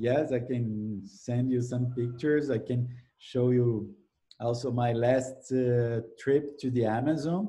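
A man speaks at a very slow pace. His voice is somewhat breathy, with ordinary pitch variation. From Brazil. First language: Portuguese. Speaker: ecology professor. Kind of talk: interview. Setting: video call. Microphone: video call.

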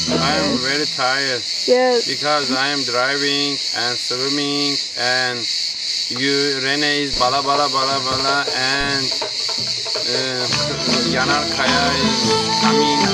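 Over music in the background, with a dry sound and no echo, a man speaks at a very slow pace with long, frequent pauses and ordinary pitch variation. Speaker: local guide on a hike. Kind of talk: casual banter with the person filming. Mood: joking, playful. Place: forest. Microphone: camera far.

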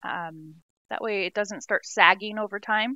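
Set against a quiet background, the speech moves at a fairly slow pace with a dry sound and no echo. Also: woman. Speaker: home remodel vlogger. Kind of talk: casual vlog chat.

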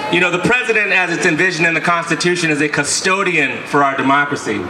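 The voice moves at a very fast pace. Noticeable background noise runs underneath. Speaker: protest speaker. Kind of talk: rally speech to a crowd. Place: street. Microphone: podium.

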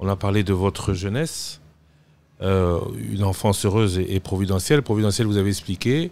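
In a very clean recording with a silent background, a man with an ordinary speaking voice and a fairly low pitch talks at a fairly quick pace, very even loudness and ordinary pitch variation. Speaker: TV magazine host. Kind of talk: interview. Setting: studio.

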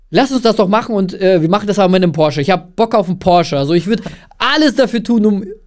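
A man speaks at a high pitch with ordinary pitch variation. The background is quiet. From Russia/Kazakhstan, moved to Germany at eight. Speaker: agency founder, filmmaker; podcast guest. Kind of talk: casual interview chat. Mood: relaxed, cheerful. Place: studio. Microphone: studio mic.

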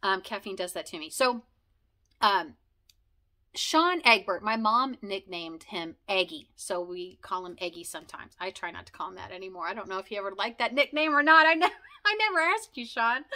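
At a medium pitch with a bright, sharp tone, a woman talks at a fairly quick pace with very wide pitch swings and big swings in loudness. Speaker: video blogger sharing conversion story. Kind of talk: casual monologue, personal storytelling. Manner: fast, talkative; rambling with many fillers. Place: home room.

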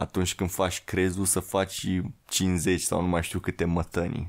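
This man's pitch is very deep and low, and his pace fairly slow. The background is quiet. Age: young. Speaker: podcast guest. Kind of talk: casual chat. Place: studio. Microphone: studio mic.

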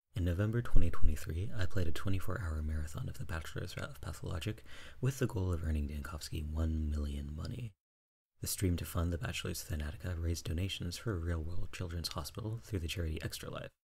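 A man speaks at a very fast pace in a very deep, low voice that is somewhat breathy. His loudness swings widely, while his pitch varies an ordinary amount. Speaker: streamer, game commentator. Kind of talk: scripted video intro narration.

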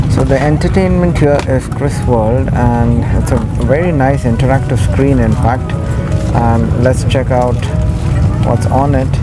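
A man speaks at a fairly slow pace. There is music in the background. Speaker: travel reviewer host. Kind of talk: casual vlog review commentary. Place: plane. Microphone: phone near.

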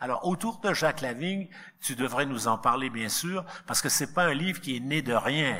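Bright and sharp in tone, a man speaks at a moderate pace with lively intonation. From Quebec. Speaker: philosophy professor and book editor; panelist. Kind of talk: book launch speech. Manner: halting, repeated words. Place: hall. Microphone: podium.

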